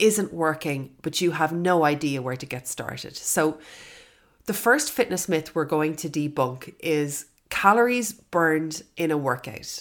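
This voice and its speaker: In a very clean recording with a silent background, a woman with an Irish accent talks at a fairly slow pace in a very deep, low pitch, her intonation lively. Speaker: fitness podcaster. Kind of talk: solo podcast monologue. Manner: warm, friendly.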